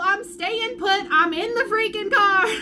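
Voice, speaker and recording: A woman raises and projects her bright, sharp voice at a moderate pace. Audible room echo surrounds her. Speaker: vlogger sharing family health updates. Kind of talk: live video update. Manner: loud, animated.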